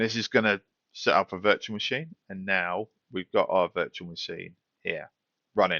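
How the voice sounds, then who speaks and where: A man with a British accent speaks with big swings in loudness and long, frequent pauses. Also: moderate pace. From United Kingdom. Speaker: tech tutorial youtuber. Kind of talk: tutorial. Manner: casual, with fillers.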